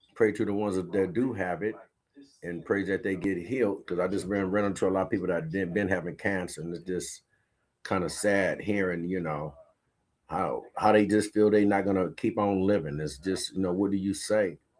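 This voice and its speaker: A man speaks at a moderate pace with fairly even intonation. His voice sits fairly low in pitch. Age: 60s. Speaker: radio podcast host. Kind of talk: casual live-stream monologue. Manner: casual, meandering, filler-heavy.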